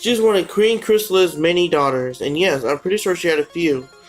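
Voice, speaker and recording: Fairly quick speech with music in the background. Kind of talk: casual commentary narration.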